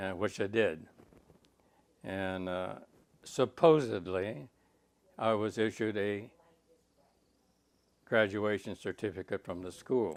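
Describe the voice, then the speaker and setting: In an American accent, a man speaks at a fairly low pitch with ordinary pitch variation. His pace is very slow, with long, frequent pauses. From US, military family moving around. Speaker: war veteran. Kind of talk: oral history interview. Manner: halting, many fillers.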